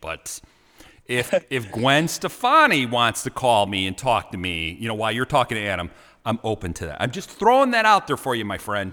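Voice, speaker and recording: With a Chicago accent, a man speaks at a moderate pace and medium pitch, his tone bright and sharp and his intonation lively. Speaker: podcast host. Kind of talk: interview.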